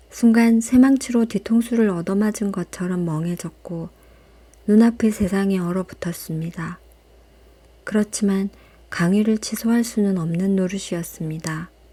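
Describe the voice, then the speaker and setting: At a fairly slow pace, a woman speaks with a medium pitch, a dark, mellow tone, ordinary pitch variation and a somewhat breathy quality. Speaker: audiobook reader. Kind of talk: audiobook reading, calm and intimate (ASMR style). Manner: soft-spoken, slow.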